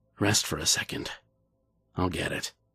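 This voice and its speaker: A man whispers in a raspy, put-on character voice at a moderate pace. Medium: read story. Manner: calm, coaxing.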